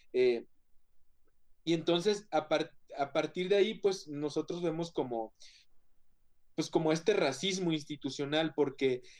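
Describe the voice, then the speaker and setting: Speaking at a fairly slow pace with long, frequent pauses, a man uses a fairly high pitch with ordinary variation. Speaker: photographer and activist. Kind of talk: panel discussion. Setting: video call.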